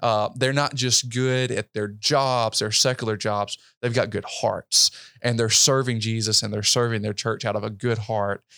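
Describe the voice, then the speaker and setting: With a Mississippi accent, a man talks at a medium pitch with fairly even intonation on a very clean recording with a silent background. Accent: US Southern, Mississippi. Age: 20s. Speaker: pastor. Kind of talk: interview conversation. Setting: hotel room.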